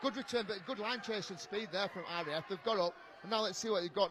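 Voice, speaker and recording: With noticeable noise in the background, a man rattles off his words very fast. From Yorkshire, northern England. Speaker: rugby league co-commentator, former player. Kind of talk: live co-commentary. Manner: fast, talks nonstop; animated.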